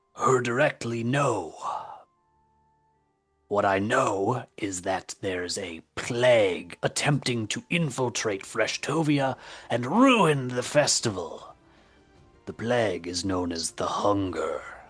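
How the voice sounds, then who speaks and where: A man uses a put-on character voice at a medium pitch, with faint music in the background. He speaks at a fairly slow pace with long, frequent pauses. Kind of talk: old-fashioned fantasy speech. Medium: actual play. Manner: secretive, formal.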